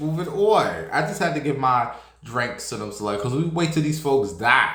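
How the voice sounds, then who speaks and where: A man with a fairly high voice talks at a moderate pace, with an animated tone and lively intonation. Audible room echo and noticeable background noise come through. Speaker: celebrity gossip streamer. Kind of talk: casual chat.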